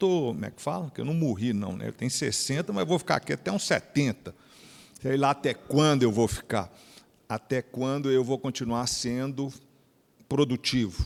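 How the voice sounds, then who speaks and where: A man talks at a moderate pace in a plain, everyday voice, his pitch medium. His intonation is lively. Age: 60s. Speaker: company executive. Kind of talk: speech to an event audience. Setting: stage with audience.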